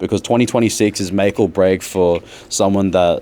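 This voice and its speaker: Fairly even intonation in a man's fairly low-pitched voice. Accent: Australian. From Brisbane, Australia. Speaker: rapper. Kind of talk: podcast interview.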